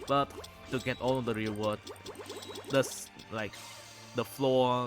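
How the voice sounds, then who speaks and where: Music plays in the background. A man speaks at medium pitch and a fairly slow pace. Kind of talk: casual gaming video log. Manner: hesitant, many filler words.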